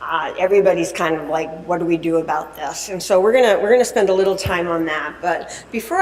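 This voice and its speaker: A woman's fairly low voice with ordinary pitch variation, audible room echo and noticeable background noise. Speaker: dietitian and conference speaker. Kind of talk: lecture. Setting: conference stage with audience. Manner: loud; halting, many fillers.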